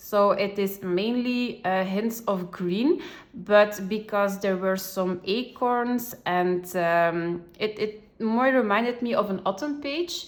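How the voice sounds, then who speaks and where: With a non-native accent, a woman talks at a very slow pace yet leaves hardly any pauses. Her pitch is medium, with ordinary variation. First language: not English. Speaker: coloring tutorial creator. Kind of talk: tutorial. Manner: hesitant, many fillers.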